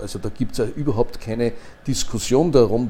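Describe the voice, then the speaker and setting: A dark, mellow tone with fairly even intonation at a fairly quick pace. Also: man. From Upper Austria. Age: 60s. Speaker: retired energy company executive. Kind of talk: interview.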